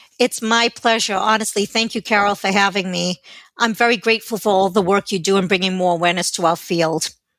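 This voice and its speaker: The woman talks at a very fast pace in a medium pitch, her intonation fairly even and her loudness very even. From South Africa. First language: Portuguese. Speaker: healthcare consultant and former nurse. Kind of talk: interview.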